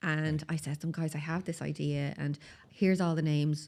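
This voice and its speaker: A woman with a Dublin accent speaks at a fairly quick pace in a very deep, low pitch, captured in a very clean recording with a silent background. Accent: Dublin Irish. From Ireland, Dublin (Tallaght). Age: 40s. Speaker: skincare business founder. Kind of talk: podcast interview. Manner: animated.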